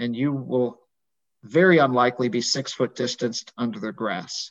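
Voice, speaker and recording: A man with an unremarkable speaking voice talks at a moderate pace with medium pitch. The sound is dry and close with no echo, over a quiet background. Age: 50s. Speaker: physician and medical professor. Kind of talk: casual interview. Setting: video call.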